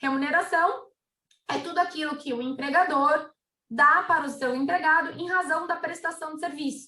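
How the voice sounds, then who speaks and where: Her voice raised and projected, a woman speaks at a moderate pace with an extremely high pitch and a bright, sharp tone. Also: fairly even intonation. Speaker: labor lawyer. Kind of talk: webinar presentation. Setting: webinar.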